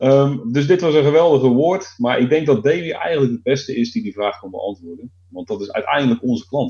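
Hardly pausing, a man with a medium pitch and a somewhat breathy voice speaks at a fairly quick pace, his intonation lively and his loudness swinging widely. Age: 40s. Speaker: IT consultant. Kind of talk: casual chat.

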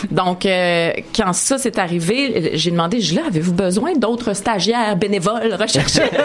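A woman at medium pitch and fairly slow pace, with lively intonation, audible room echo and noticeable background noise. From Montreal, Quebec (Maisonneuve). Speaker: TV columnist and host. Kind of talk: interview.

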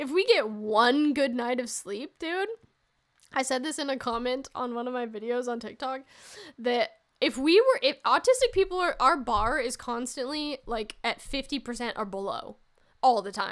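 A woman with a high-pitched voice speaks loudly in an animated tone at a moderate pace, with ordinary pitch variation, in a very clean recording with a silent background. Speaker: solo comedy podcast host. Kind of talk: casual solo monologue.

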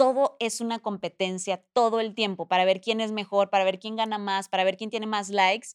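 A woman with a Mexican accent talks at a medium pitch and a fairly quick pace, with hardly any pauses and a monotone, flat intonation. The recording is very clean and dry, close with no echo and a silent background. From Mexico. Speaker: TV presenter and entrepreneur. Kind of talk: casual interview.

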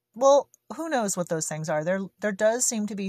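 Lively intonation marks this woman's medium-pitched voice. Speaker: solo podcaster on homesteading. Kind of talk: casual monologue. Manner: spontaneous, unscripted.

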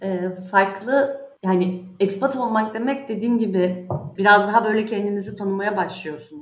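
Moderately paced speech from a woman, medium in pitch, with ordinary pitch variation and room echo that can be heard. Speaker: insurance specialist. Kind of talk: interview.

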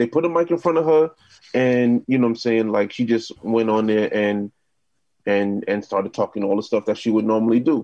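Speaking at a fairly quick pace with a New York accent, a man has a dark, mellow tone and very even loudness. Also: medium pitch for a man, ordinary pitch variation, dry, close sound with no echo. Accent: New York City. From Queens, New York City. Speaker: DJ, producer and podcast host. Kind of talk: casual chat.

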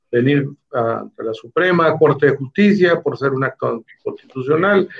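In a normal speaking voice, the words come at a moderate pace with ordinary pitch variation. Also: man. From Mexico, Baja California Sur. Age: 60s. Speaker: politician, former federal official. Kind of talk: interview.

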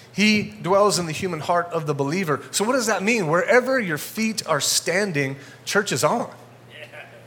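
A man talks at a moderate pace in a high voice. Background noise is noticeable. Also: lively intonation. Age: 40s. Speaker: guest pastor. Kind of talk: sermon. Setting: church with congregation.

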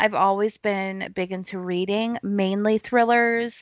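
Against a quiet background, a woman with a normal speaking voice speaks at a fairly slow pace and medium pitch. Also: dry, close sound with no echo. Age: 20s. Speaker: thriller author. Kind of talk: casual chat. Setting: remote interview from home.

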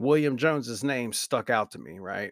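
A man mumbles in a Southern US accent at a medium pitch, in a very clean recording with a silent background and a dry, close sound with no echo. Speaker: podcaster. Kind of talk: casual monologue. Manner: mumbling.

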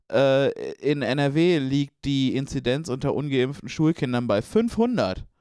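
The background stays quiet as a man talks at a fairly high pitch. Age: 20s. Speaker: podcast co-host. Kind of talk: casual chat. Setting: in a room together.

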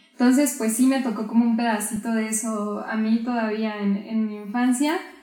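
A woman's voice with audible room echo. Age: 20s. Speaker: photographer. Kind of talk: interview. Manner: calm, soft-spoken.

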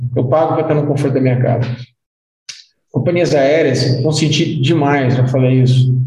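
Audible room echo surrounds a man with a fairly high pitch. He sounds somewhat breathy, with fairly even intonation. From Brazil (Goiás), partly raised in London. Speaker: timeshare and resort industry executive. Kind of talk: interview conversation. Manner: casual, with many hesitations.

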